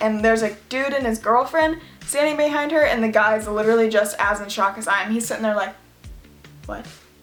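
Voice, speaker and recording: With music playing in the background, someone speaks at a fairly quick pace in an American accent. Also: woman, fairly high pitch for a woman, ordinary pitch variation. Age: young. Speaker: YouTuber. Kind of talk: casual storytime talk to camera.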